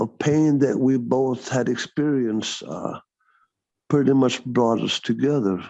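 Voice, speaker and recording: A man speaks in a Texan accent at a medium pitch. His pace is fairly slow and his intonation fairly even. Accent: Texan American English. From Texas (Dallas area). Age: 60s. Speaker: former counselor. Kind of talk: interview testimony. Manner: halting.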